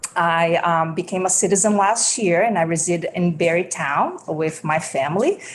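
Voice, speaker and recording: Fairly even in intonation, a woman speaks at a moderate pace and fairly low pitch in a Brazilian Portuguese accent. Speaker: school food service director. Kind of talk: legislative testimony. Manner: halting, many fillers.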